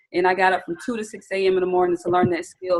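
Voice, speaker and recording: In a Southern US accent, a woman speaks at a medium pitch. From US South, Atlanta, Georgia. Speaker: trading educator. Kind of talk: webinar training. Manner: animated.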